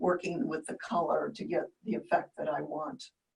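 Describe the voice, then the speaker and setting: Her voice is somewhat breathy, with lively intonation. The woman keeps a moderate pace. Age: 70s. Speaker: quilt artist and teacher. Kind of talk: interview. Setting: remote video call.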